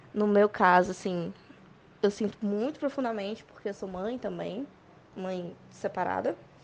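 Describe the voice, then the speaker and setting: A woman's medium-pitched voice, an ordinary speaking voice. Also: ordinary pitch variation, fairly slow pace. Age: 20s. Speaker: beer sommelier. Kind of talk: voice message testimony.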